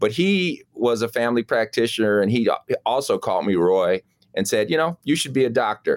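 A man with an ordinary speaking voice and an American accent, medium pitch, lively intonation and a fairly quick pace, on a dry, close recording with no echo and a very clean, silent background. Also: very even loudness. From Chicago, South Side. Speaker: surgeon. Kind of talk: casual interview.

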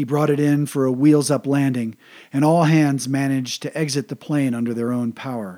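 A man's dark, mellow tone comes through on a very clean recording with a silent background. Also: fairly high pitch for a man, moderate pace. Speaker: military history podcaster. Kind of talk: history documentary narration. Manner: measured, steady, formal; even and informative, little emotion.

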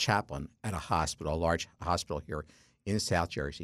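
In a very clean recording with a silent background, the delivery keeps a moderate pace. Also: man. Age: 60s. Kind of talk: radio interview. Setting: studio.

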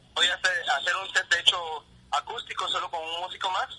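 Noticeable background noise accompanies talking delivered at a moderate pace. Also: man. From Guatemala, Huehuetenango. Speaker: rock musician. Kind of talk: interview.

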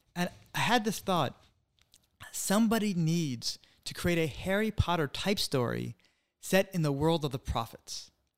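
Speaking with a New England accent, a man with a high-pitched voice talks at a moderate pace with lively intonation and long, frequent pauses, on a very clean recording with a silent background. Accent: American English, New England. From US Northeast, Connecticut (West Hartford). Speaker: author. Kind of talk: interview.

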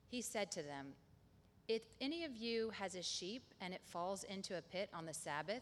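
A woman's medium-pitched voice at a moderate pace, with very wide pitch swings. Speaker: scripture reader. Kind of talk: reading aloud.

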